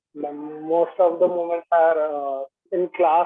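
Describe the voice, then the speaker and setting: Fairly slow, monotone speech with flat intonation, over music in the background. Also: man. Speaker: junior data scientist. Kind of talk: interview answer. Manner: soft-spoken, mild-mannered.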